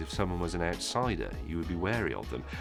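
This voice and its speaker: Man with very wide pitch swings at a fairly quick pace, music in the background. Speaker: TV presenter. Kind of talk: casual talk to camera, interview answer.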